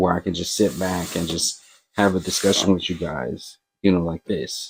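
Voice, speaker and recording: A man mumbles with an American accent, his pitch very deep and low. He speaks at a moderate pace with fairly even intonation on a very clean recording with a silent background. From Florida. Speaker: movie and TV reviewer. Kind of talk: casual vlog monologue. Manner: mumbling.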